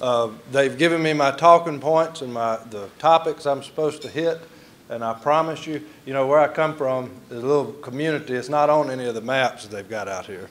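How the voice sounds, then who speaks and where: Noticeable background noise surrounds a man with a fairly high pitch who talks at a fairly quick pace. His pitch variation is ordinary, but his loudness swings widely. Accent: Mississippi. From Mississippi (rural, near Delo). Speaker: master of ceremonies, former political staffer. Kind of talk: emcee speech at awards dinner. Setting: banquet hall with audience. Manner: folksy, humorous.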